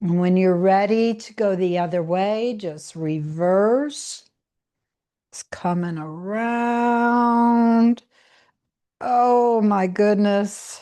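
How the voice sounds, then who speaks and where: A woman's dark, mellow voice at medium pitch, very slow in pace, with ordinary pitch variation, big swings in loudness and a quiet background. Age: 60s. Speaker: yoga instructor. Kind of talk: guided exercise class. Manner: soft-spoken.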